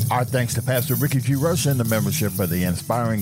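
With music in the background, a man speaks at a fairly quick pace with very wide pitch swings. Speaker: gospel radio host. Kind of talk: radio dj patter. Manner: animated.

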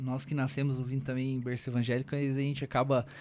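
Pitched fairly high, a man talks in a plain, everyday voice. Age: 30s. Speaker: podcast host. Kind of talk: casual chat. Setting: studio.

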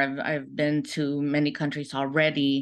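Over a quiet background, a woman speaks in a very deep, low voice. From Philippines. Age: 40s. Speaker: dancer. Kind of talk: casual interview. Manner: halting.

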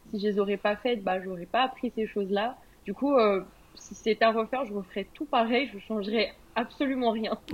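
Her voice is an unremarkable speaking voice, as this woman talks at a moderate pace with fairly high pitch and fairly even intonation. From France. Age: 20s. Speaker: entrepreneur. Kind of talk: interview.

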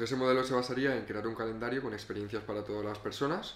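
A man is heard with audible room echo. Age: 20s. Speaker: photographer and videographer. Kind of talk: casual chat. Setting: home sofa.

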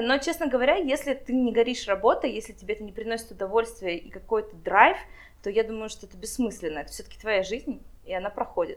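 Very rapid speech from a woman, pitched fairly high, full of lively intonation. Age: 20s. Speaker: wedding planner. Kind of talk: interview.

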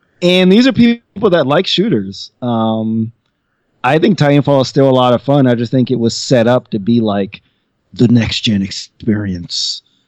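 In a normal speaking voice, a man talks at a moderate pace and medium pitch with lively intonation, recorded dry and close with no echo. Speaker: podcast guest. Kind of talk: casual chat.

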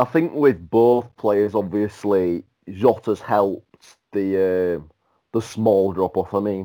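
A man talks at a very slow pace, his pitch fairly low and its variation ordinary. His tone is dark and mellow, and the recording is very clean with a silent background. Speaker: football pundit. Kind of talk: casual chat.

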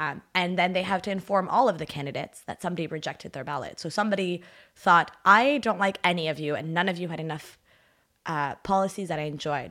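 A woman's fairly low, bright and sharp voice in a Canadian accent, very fast, with ordinary pitch variation, on a very clean recording with a silent background. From Ottawa, Canada. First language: French. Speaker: traveler and political volunteer. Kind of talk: casual interview chat. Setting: studio, drinking tea.

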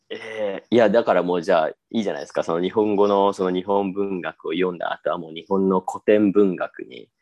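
In a dry, close sound with no echo and a quiet background, a man with an ordinary speaking voice talks at a fairly quick pace and fairly low pitch, with fairly even intonation, big swings in loudness, and hardly any pauses. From Japan. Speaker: Japanese teacher. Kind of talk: casual chat.

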